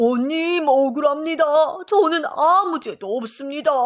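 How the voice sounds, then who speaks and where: A put-on character voice rings out at a high pitch. Its intonation is lively and its pace moderate. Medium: read story.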